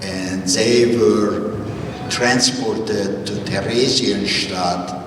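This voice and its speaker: A man speaks with fairly even intonation over noticeable background noise and audible room echo. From Hungary, Budapest. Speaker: Holocaust survivor speaker. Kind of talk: testimony.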